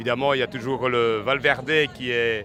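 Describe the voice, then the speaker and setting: A man talks at a moderate pace with a medium pitch. Music plays in the background. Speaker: cycling fan spectator. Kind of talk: street interview.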